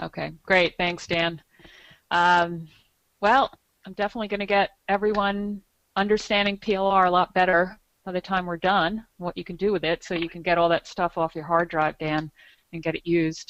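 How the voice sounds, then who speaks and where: A woman with an ordinary speaking voice talks at a moderate pace in a fairly low pitch with fairly even intonation. The sound is dry and close, with no echo. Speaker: PLR content expert, business guest. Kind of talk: webinar presentation.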